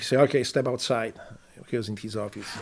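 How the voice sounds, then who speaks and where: In a Polish accent, a man delivers his words in a dark, mellow tone with monotone, flat intonation. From Poland. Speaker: war veteran. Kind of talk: casual chat. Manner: halting.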